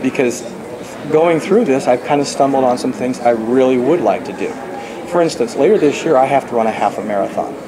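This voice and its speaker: Fairly quick speech from a man, with ordinary pitch variation, comes through noticeable background noise. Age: 60s. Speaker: novelist. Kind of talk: interview. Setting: conference event. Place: meeting room.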